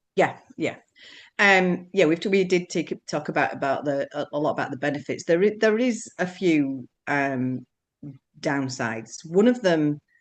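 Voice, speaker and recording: A woman with a Yorkshire accent speaks at a very deep, low pitch. Her intonation is lively and her pace fairly slow. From Yorkshire, northern England. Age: 60s. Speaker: businesswoman sharing weight-loss experience. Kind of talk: live Q&A interview. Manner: hesitant, many repetitions.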